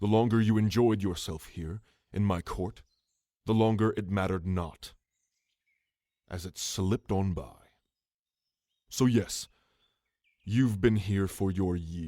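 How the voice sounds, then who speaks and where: A man's put-on character voice, fairly low and fairly slow, with long, frequent pauses. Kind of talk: ASMR roleplay. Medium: audio drama. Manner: regal, measured, condescending.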